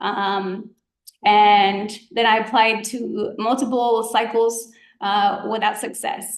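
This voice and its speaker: In a Spanish accent, a woman with a fairly high pitch speaks at a very slow pace in a monotone, flat intonation. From Georgia, US South (grew up there undocumented from childhood). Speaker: physician, guest speaker. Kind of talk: presentation to students. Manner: casual, many fillers (um, like).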